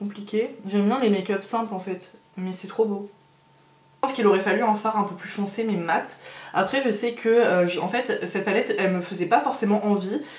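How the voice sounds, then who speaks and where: A medium-pitched woman with a strong French accent at a moderate pace, with audible room echo and noticeable background noise. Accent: strong French accent in English words. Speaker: beauty youtuber. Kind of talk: makeup tutorial. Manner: hesitant, many fillers; enthusiastic.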